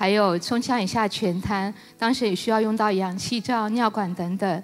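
This woman has an unremarkable speaking voice, medium in pitch, with fairly even intonation and a moderate pace. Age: 50s. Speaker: church member giving testimony. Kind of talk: testimony.

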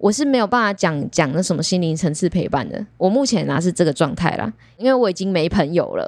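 Her pitch swings very widely. The woman moves along at a fairly quick pace. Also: medium pitch for a woman, very clean recording, silent background. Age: 20s. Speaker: aquarium service department supervisor. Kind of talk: casual chat.

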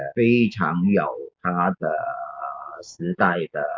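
A man is speaking. His pace is very slow. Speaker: film teacher and critic. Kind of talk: casual film discussion. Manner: hesitant with many fillers. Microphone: phone recording.

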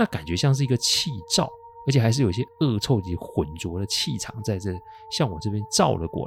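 The tone is relaxed, the pace fairly quick, and the pitch swings very widely. Background noise is noticeable. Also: man. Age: 40s. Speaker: paranormal storyteller podcaster. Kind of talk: storytelling narration. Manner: relaxed, frequent sentence-final particles.

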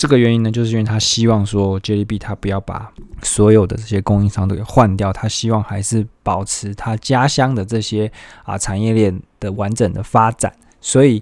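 In a very clean recording with a silent background, a man speaks at a moderate pace. His pitch is fairly low and his intonation flat and monotone. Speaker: solo podcast host. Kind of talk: casual solo monologue. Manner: many filler sounds, hesitant.

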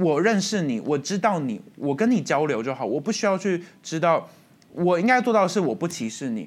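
In a very clean recording with a silent background, a man speaks at a high pitch and a fairly quick pace, with very wide pitch swings. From Taiwan. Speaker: student podcast host. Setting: school studio.

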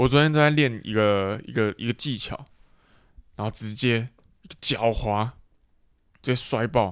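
Using a medium pitch and ordinary pitch variation, a man with a Taiwanese accent speaks at a fairly slow pace with long, frequent pauses. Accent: Taiwanese Mandarin. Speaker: podcast co-host. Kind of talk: casual chat.

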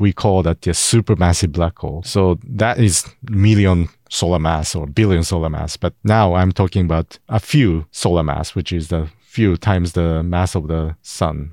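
A man with a Japanese accent speaks at a moderate pace in a very deep, low pitch, with ordinary pitch variation and hardly any pauses. The recording is very clean with a silent background and a dry, close sound with no echo. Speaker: astrophysicist. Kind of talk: casual interview. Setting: studio. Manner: halting, hesitant.

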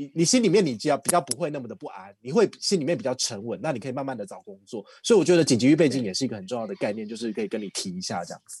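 This man talks at a very fast pace with a Taiwanese accent and hardly any pauses. His medium pitch swings very widely, his loudness shifts a lot, and the background is quiet. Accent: Taiwanese Mandarin. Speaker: credit card expert. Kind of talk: casual chat.

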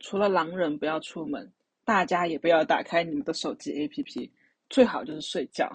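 A woman talks at a moderate pace in a fairly low pitch, sounding somewhat breathy. Her pitch swings very widely. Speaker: podcast co-host. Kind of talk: casual chat.

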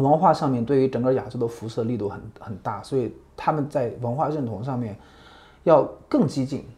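With ordinary pitch variation, the speaker sounds somewhat breathy. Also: man, medium pitch for a man, fairly quick pace. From mainland China. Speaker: journalist and visiting researcher. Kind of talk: interview conversation. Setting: on location in Tokyo.

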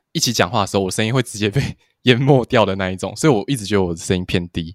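Lively intonation from a man with a Taiwanese accent, in a very clean, silent recording with a dry, close sound and no echo. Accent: Taiwanese Mandarin. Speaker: podcast co-host. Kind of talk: casual chat. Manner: soft-spoken, quiet.

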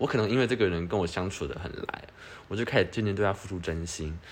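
A man speaks at a very fast pace. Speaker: podcast co-host. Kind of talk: casual chat.

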